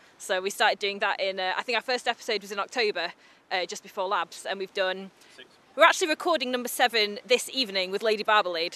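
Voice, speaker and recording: Talking at a very fast pace, a woman with a medium pitch and ordinary pitch variation comes through in a dry, close sound with no echo. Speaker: barbershop quartet tenor singer.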